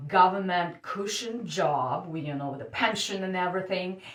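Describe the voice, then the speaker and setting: A woman speaks with a Russian accent at a medium pitch. Her intonation is lively. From Siberia, Russia. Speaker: dating coach. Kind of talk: personal story told to camera. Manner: hesitant, casual.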